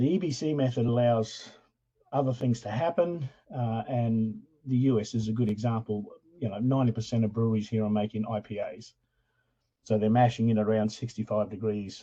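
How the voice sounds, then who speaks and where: A man's somewhat breathy voice with a dark, mellow tone sits at medium pitch, moving at a fairly quick pace with ordinary pitch variation. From Australia. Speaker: professor. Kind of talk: lecture. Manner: casual, hesitant with fillers.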